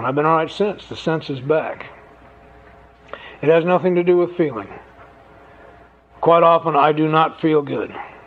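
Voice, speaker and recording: A man talks with long, frequent pauses over noticeable background noise. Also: moderate pace. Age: 70s. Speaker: AA speaker sharing recovery story. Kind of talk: speaker testimony to an audience. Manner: conversational storytelling with humor.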